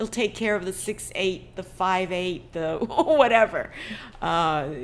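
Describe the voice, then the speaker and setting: At a very slow pace, a woman with a Chinese accent speaks at a medium pitch with ordinary pitch variation. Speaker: ukulele teacher and meeting host. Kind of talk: casual video-call discussion. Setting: video call.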